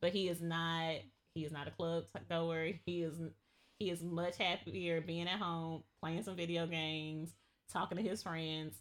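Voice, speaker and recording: A woman's fairly low pitch and fairly even intonation come at a moderate speed. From US South, Georgia. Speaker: podcast guest. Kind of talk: casual chat.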